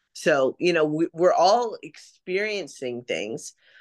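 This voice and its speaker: In an ordinary speaking voice with an American accent, a woman speaks at a fairly slow pace with lively intonation, the sound dry and close with no echo and the background quiet. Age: 40s. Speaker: event marketer. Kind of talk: casual chat.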